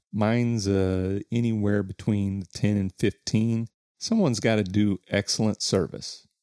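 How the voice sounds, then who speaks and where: In a dry, close recording with no echo, a man with a dark, mellow tone talks fairly slowly at a fairly low pitch, his intonation monotone and flat. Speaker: podcast co-host. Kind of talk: casual chat.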